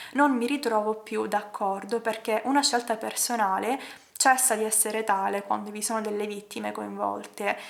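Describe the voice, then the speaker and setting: Noticeable background noise sits under speech delivered at a moderate pace with fairly even intonation. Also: woman, fairly high pitch for a woman. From Palermo, Sicily, Italy. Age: 20s. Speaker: ballet dancer; animal rights activist. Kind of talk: personal story told to camera.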